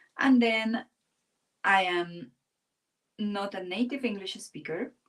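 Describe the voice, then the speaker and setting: Speaking in a Spanish accent at a very slow pace, a woman uses a fairly high pitch with ordinary pitch variation. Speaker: art teacher. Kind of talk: live-stream drawing tutorial. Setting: live stream. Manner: pauses and goes silent while drawing.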